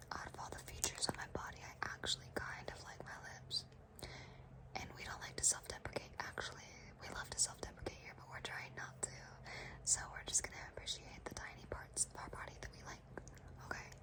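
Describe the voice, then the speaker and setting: Whispering at a fairly quick pace, a woman swings widely in loudness over noticeable background noise. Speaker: ASMR content creator. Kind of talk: ASMR whisper ramble, personal attention. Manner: whispered, soft-spoken, rambling.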